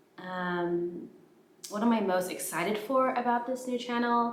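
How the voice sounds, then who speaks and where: There is audible room echo and noticeable background noise as a woman speaks with lively intonation. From Canada. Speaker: PhD student and YouTuber. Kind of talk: casual vlog talk. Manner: hesitant, many fillers.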